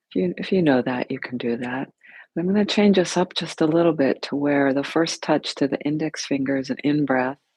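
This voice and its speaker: Soft-spoken, a woman with a very deep, low pitch is heard in a dry, close sound with no echo. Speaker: yoga and meditation teacher. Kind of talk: guided meditation. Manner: slow.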